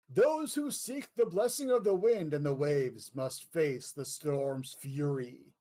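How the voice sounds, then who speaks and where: In a booming, put-on character voice, a man speaks fairly slowly at a fairly high pitch with very wide pitch swings. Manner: ominous, commanding.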